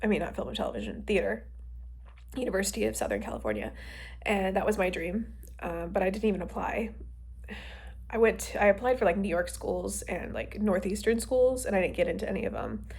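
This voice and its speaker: Female speaker at a fairly quick pace, broken by long, frequent pauses, amid audible room echo and noticeable background noise. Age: 20s. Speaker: actor and writer vlogger. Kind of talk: casual vlog monologue. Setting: working from home, filming herself. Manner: casual, filler-heavy, rambling speech.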